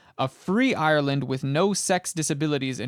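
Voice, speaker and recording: A man with an unremarkable speaking voice speaks at a fairly high pitch with ordinary variation. The sound is dry and close, with no echo. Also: very clean recording, silent background. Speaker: audiobook reader. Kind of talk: historical speech reading.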